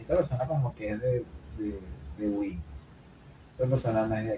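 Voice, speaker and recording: Lively intonation from a somewhat breathy male voice. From Venezuela, Maracay. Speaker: podcast co-host. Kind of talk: casual chat. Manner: fast.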